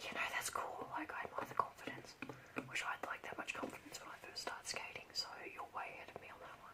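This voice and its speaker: Whispering at a fairly quick pace, a woman with an Australian accent is heard over noticeable background noise. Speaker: ASMR creator. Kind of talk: ASMR role play, casual talk to camera.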